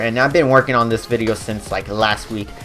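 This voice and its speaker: Music plays underneath speech delivered at a fairly quick pace. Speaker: gaming YouTuber. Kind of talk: tutorial; casual chat. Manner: halting; casual.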